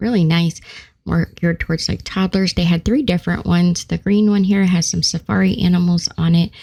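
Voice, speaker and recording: A woman talks at a fairly quick pace with a fairly low pitch and very even loudness. Her tone is dark, mellow and somewhat breathy. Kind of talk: shopping walkthrough voice-over.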